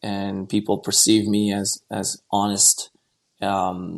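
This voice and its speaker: Speaking very slowly in a Quebec accent, a man has a fairly low pitch. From Quebec, Montreal. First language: French. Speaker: investment banker. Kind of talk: podcast interview. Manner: halting, many repetitions and fillers.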